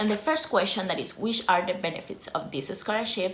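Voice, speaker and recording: With audible room echo, a woman in a Costa Rican accent speaks at a fairly quick pace and medium pitch. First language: Spanish. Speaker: YouTuber, former scholarship student. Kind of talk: informational vlog.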